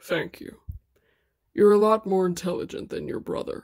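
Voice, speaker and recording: This is a put-on character voice at a fairly high pitch. The pace is moderate. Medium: audio drama. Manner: impatient, scornful, barking orders.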